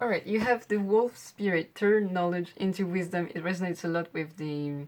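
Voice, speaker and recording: A woman talks with a medium pitch at a fairly quick pace. The recording is very clean, with a silent background. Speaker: tarot card reader. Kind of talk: pick-a-card tarot reading.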